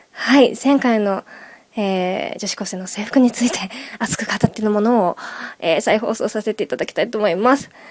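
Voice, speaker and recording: Over noticeable background noise, someone talks at a fairly quick pace with ordinary pitch variation. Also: woman. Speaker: radio host. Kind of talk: casual radio chat. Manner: casual, rambling.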